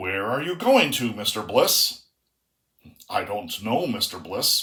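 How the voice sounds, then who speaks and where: A put-on character voice from a man, fairly high in pitch and fairly slow in pace. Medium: read story.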